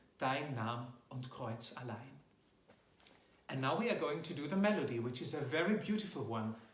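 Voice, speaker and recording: With a German accent, a man talks using lively intonation, and audible room echo surrounds his voice. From German-speaking Europe. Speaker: classical tenor singer. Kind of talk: tutorial. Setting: home video recording.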